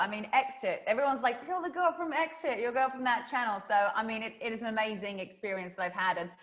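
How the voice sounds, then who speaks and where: Speaking very fast with a British accent, a woman uses lively intonation at a fairly high pitch. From southern England. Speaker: fitness trainer and YouTuber. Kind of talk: interview. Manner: animated.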